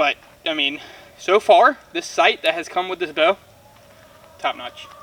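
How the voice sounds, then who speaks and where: Shouting at a fairly slow pace with long, frequent pauses and big swings in loudness, a man is recorded dry and close with no echo, against noticeable background noise. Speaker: bowhunting YouTuber. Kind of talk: casual product review while shooting. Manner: loud, yelling a little for the camera.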